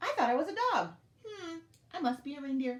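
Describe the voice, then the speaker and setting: A woman uses a high-pitched, put-on character voice at a fairly quick pace. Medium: read story. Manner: shy, earnest.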